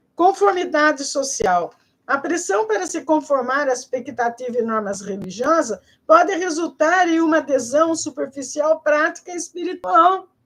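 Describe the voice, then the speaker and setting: Her intonation is lively as a woman talks at a moderate pace. She speaks at a high pitch. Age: 70s. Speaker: spiritual video lecturer. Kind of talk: informal video lecture. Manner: casual, conversational with fillers.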